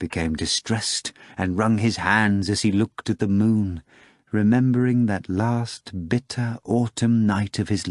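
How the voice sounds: The speaker uses a natural reading voice. Nothing else about the delivery stands out as forced.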